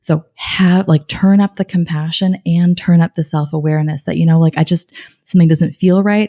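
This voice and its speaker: A woman with fairly low pitch and a dark, mellow tone speaks at a moderate pace, somewhat breathy, with fairly even intonation and a calm tone. The sound is dry and close with no echo. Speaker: life coach and cancer survivor. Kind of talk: podcast interview.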